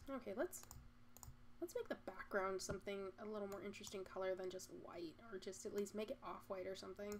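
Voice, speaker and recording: Over noticeable background noise, a woman with an American accent speaks at a fairly quick pace with ordinary pitch variation. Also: medium pitch for a woman. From Michigan. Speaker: artist streamer. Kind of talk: casual live stream chat while drawing. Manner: fast.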